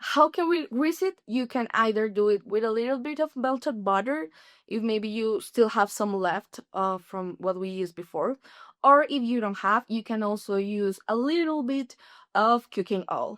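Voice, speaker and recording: The speaker has a Spanish accent, lively intonation and a moderate pace. The sound is dry and close with no echo, in a very clean recording with a silent background. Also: woman, fairly high pitch for a woman. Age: 30s. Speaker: language student. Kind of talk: tutorial.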